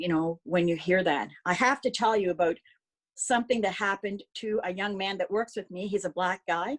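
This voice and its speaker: A woman with a Nova Scotian accent, medium pitch, ordinary pitch variation and a moderate pace, on a very clean recording with a silent background. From Nova Scotia, Sackville. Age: 60s. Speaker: phlebotomist. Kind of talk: testimony.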